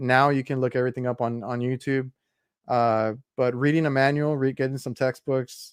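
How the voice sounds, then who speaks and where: In a South Texas accent, a man talks at a moderate pace and medium pitch with monotone, flat intonation. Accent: South Texas American English. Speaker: HVAC podcast host. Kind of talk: casual interview chat.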